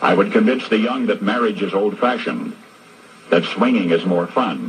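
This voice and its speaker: There is noticeable noise in the background. Over it, a man talks with an American accent. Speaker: radio broadcaster. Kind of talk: radio commentary monologue.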